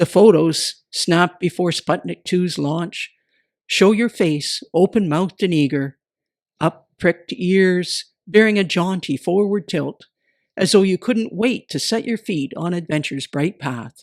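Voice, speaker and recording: A woman talks at a fairly slow pace in an ordinary speaking voice, pitched fairly low. Her pitch variation is ordinary, and the sound is dry and close with no echo. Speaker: poet. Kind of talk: poetry reading.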